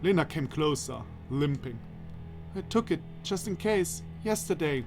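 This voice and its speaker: Very wide pitch swings play out against music in the background. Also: man. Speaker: let's play narrator. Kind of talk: reading a visual novel aloud with commentary.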